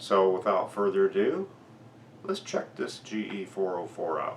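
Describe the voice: A man speaks at a low pitch with ordinary pitch variation, vocal fry and a slightly mellow tone. He goes at a fairly slow pace, and room echo is audible.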